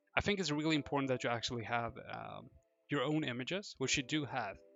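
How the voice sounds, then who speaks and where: Over music in the background, a man with a non-native accent talks at a fairly quick pace and medium pitch with ordinary pitch variation. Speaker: SEO consultant, live streamer. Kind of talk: live stream website review. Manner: casual, with fillers and self-corrections.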